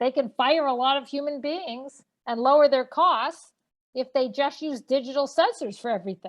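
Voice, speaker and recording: Her pitch is high. The woman speaks with a Boston accent. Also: ordinary pitch variation, moderate pace. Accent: Boston-area. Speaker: energy policy expert and professor. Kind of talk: webcast panel discussion. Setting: webcast.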